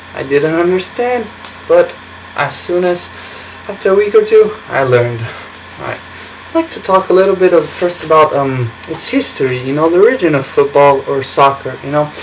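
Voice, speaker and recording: Against noticeable background noise, a man with a high pitch and lively intonation speaks at a moderate pace. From Brazil. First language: Portuguese. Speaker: college student. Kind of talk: class speech. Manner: halting, many fillers.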